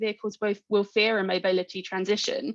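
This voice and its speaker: A woman with a British accent at a medium pitch, with fairly even intonation and a fairly quick pace. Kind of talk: conference talk. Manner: fast.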